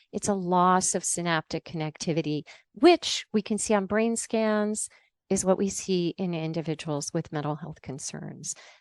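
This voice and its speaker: On a very clean recording with a silent background and a dry, close sound with no echo, a woman with an unremarkable speaking voice talks at medium pitch and a moderate pace with ordinary pitch variation. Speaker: science journalist and author. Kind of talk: interview.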